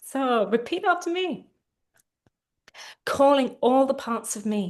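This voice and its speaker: The woman's high voice has lively intonation, and she speaks at a very slow pace. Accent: London. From England, London. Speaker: therapist. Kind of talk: guided tapping session. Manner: slow, phrase-by-phrase prompting.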